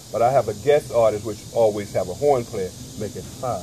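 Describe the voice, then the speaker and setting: A man with an American accent over noticeable background noise. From US South, South Carolina. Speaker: jazz vibraphonist. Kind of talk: interview.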